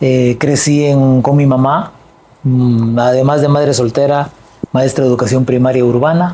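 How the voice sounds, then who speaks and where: A man's fairly high voice moves at a fairly slow pace with fairly even intonation. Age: 60s. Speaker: political party leader. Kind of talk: interview.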